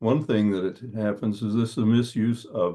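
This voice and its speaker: A man with a fairly low pitch and a dark, mellow tone speaks at a moderate pace. His intonation stays fairly even. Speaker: dark sky presenter. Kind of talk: presentation.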